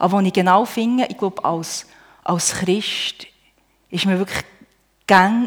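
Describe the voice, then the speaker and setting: Her medium pitch and fairly even intonation carry along at a fairly slow pace as this woman speaks. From Switzerland, Emmental (Bern). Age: 40s. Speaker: churchgoer, homemaker. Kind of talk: testimony. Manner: halting.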